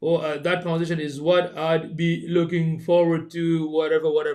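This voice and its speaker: A man's high-pitched, monotone, flat delivery at a moderate pace. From Bengali background. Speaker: podcast co-host. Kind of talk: casual chat. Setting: live stream.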